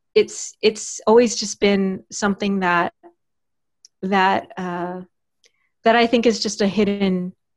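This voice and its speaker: At a very slow pace with long, frequent pauses, a woman speaks at a medium pitch with fairly even intonation in a dry, close sound with no echo. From Texas. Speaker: writer and podcast host. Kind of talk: interview.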